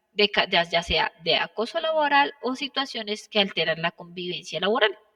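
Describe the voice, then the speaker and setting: Recorded with a dry, close sound and no echo, a woman speaks at a medium pitch. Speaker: occupational safety instructor. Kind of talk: online class lecture. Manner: fast.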